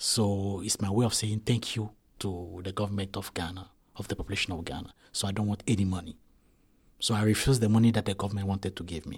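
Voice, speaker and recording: The recording is very clean, with a silent background. A man talks very fast in a fairly low, somewhat breathy voice with fairly even intonation. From Ivory Coast. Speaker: artist and refugee. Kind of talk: interview testimony.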